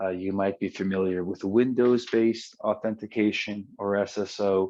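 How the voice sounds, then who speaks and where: Man with an American accent, fairly low in pitch, monotone and flat, moderately paced, over a quiet background. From United States. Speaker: tech company presenter. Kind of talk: webinar presentation. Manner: frequent filler hesitations.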